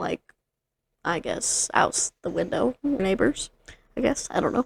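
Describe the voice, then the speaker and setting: A woman mumbles at a fairly slow pace with vocal fry. The sound is dry and close, with no echo. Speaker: podcast co-host. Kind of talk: casual chat. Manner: mumbling.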